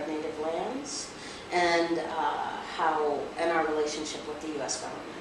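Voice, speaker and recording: With an American accent, a woman speaks at a fairly slow pace and very deep, low pitch, with audible room echo and noticeable background noise. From Rosebud Reservation, South Dakota, USA. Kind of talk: interview answer. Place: meeting room.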